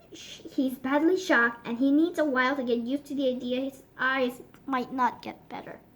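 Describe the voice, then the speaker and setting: Quiet and high-pitched, a woman uses a put-on character voice at a moderate pace with hardly any pauses. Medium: read story. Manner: quiet, caring.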